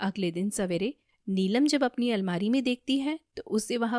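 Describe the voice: A quiet backdrop behind plain reading aloud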